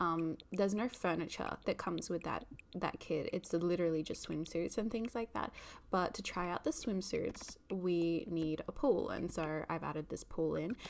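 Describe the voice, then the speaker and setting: This woman speaks with an Australian accent and a fairly low pitch. Her pitch varies in an ordinary way. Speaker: gaming YouTuber. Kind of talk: gameplay commentary. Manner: casual, with many fillers.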